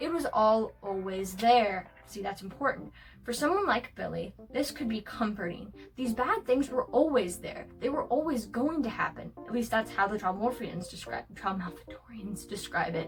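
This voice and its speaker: Hardly pausing, a woman talks at a moderate pace with music in the background. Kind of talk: video essay narration. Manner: some stuttering.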